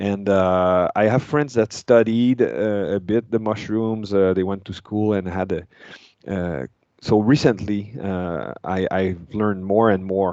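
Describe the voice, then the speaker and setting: A man with a French accent and a fairly low, dark, mellow voice, at a fairly slow pace with ordinary pitch variation against a quiet background. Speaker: metal guitarist. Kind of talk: interview. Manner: halting.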